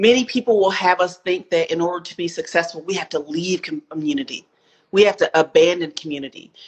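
With an American accent, a woman talks at a medium pitch with lively intonation in an ordinary speaking voice. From US South, Spartanburg, South Carolina. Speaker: author and equity consultant. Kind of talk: interview.

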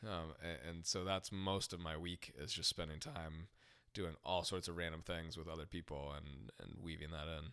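A man with an American accent speaks at a very deep, low pitch, with a bright, sharp tone and fairly even intonation. The pace is moderate and the recording very clean, with a silent background. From US Midwest, Ohio. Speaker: pastor. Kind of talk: casual interview.

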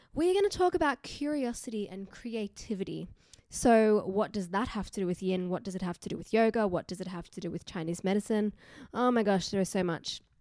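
With an Australian accent, a woman talks at a fairly quick pace with a medium pitch and ordinary pitch variation, in a very clean recording with a silent background. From Newcastle, Australia. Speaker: yoga teacher and podcaster. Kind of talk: casual solo podcast monologue. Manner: conversational, informal.

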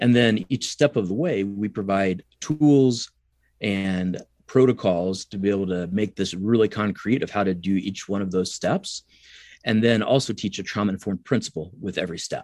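A man with an American accent has a plain, everyday voice at a fairly low pitch with ordinary pitch variation. He speaks at a moderate pace on a very clean recording with a silent background. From US Midwest, rural southern Illinois. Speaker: psychology professor and researcher. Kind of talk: interview.

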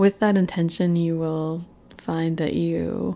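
A woman speaks at a fairly low pitch in a dark, mellow tone. Her pace is fairly slow. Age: 40s. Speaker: podcast host. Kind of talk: casual monologue. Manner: halting.

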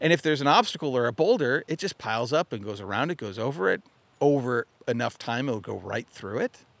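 Very fast and lively in intonation, a man with an American accent speaks at medium pitch on a very clean recording with a silent background and a dry, close sound with no echo. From Arizona. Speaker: mindset coach, podcast host. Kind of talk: motivational monologue. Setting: outdoors by a lake.

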